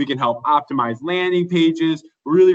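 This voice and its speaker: This man's voice is fairly high in pitch, with an energetic tone, ordinary pitch variation and a moderate pace. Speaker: sales presenter for dealer marketing. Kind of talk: sales presentation.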